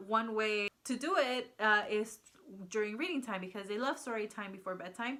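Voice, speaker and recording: Over noticeable background noise, a woman with a Spanish accent speaks with ordinary pitch variation. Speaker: homeschooling mom vlogger. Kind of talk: casual vlog talk. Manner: hesitant, many fillers.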